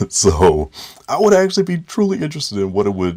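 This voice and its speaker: The background is silent in this very clean recording. A man speaks with an American accent. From US Midwest (Dayton, Ohio). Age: 40s. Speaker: artist and educator. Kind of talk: interview answers. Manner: halting, many fillers.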